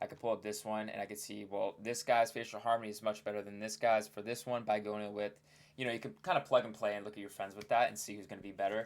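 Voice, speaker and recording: Talking at a very fast pace, a man holds a fairly low pitch in a monotone, flat intonation while his loudness swings widely. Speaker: looksmaxxing content creator. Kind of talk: casual commentary on facial analysis. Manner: casual, filler-heavy.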